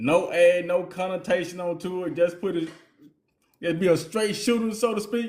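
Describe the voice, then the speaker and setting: An animated, relaxed tone in a Southern US accent comes through at a moderate pace with ordinary pitch variation. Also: man, high pitch for a man. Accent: country Southern, by his own remark. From US South, Mississippi Delta. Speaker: podcast co-host. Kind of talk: casual chat. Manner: relaxed, informal.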